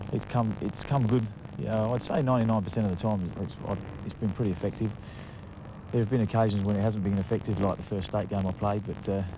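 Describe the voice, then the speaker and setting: A man speaks at a very fast pace with a slight English accent and fairly low pitch. His intonation is fairly even, with music in the background. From England. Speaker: footballer. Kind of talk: interview. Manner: halting, many fillers.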